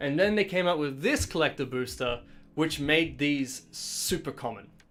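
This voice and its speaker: The man keeps a moderate pace and ordinary pitch variation while music plays in the background. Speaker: streamer opening trading cards. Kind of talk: casual live stream chat. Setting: home live stream.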